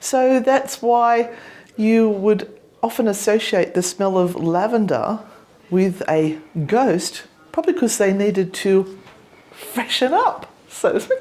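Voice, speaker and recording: A woman's fairly high voice with lively intonation, a very slow pace and long, frequent pauses, over noticeable background noise. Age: old. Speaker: ghost hunter. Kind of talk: casual talk to camera.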